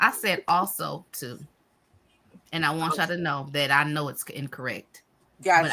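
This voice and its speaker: A woman's very deep, low voice with a bright, sharp tone, fairly even intonation, and long, frequent pauses. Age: 40s. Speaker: live stream host. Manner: fast talker.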